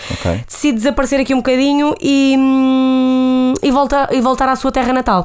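A woman talks at a moderate pace and a high pitch, with fairly even intonation, very even loudness and hardly any pauses, against noticeable background noise. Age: 20s. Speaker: podcast co-host. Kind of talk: casual chat.

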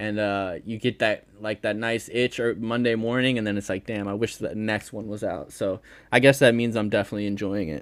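A man speaks at a fairly quick pace with hardly any pauses, using an unremarkable speaking voice with an American accent and fairly low pitch. His intonation stays fairly even, and the recording is very clean with a silent background. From Connecticut, US Northeast. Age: 20s. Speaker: podcast fan guest. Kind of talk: casual chat.

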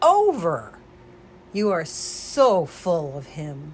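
Speaking at a very slow pace, a woman uses a somewhat breathy voice with a fairly low pitch. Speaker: prayer ministry leader. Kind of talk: fervent prayer and devotional preaching. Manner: fervent, earnest, intense prayer.

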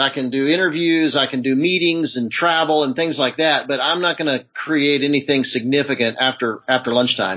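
Speaking at a moderate pace with ordinary pitch variation, a man with an American accent has a fairly high pitch and a plain, everyday voice. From US South, Charlotte, North Carolina. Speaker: media producer and author. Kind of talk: interview.

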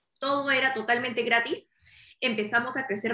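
Speaking at a fairly slow pace, a woman with a Peruvian accent has a high pitch and a bright, sharp tone. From Peru, Lima. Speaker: startup founder. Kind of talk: interview.

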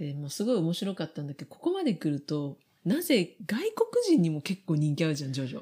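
A woman talks very fast in a dark, mellow tone, her pitch fairly low. Her voice is somewhat breathy, with lively intonation. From Japan. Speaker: podcast co-host. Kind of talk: casual chat.

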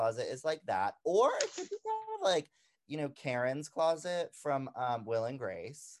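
A man has an unremarkable speaking voice with a fairly high pitch. His intonation is lively. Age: 20s. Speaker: podcast co-host. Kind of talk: casual chat.

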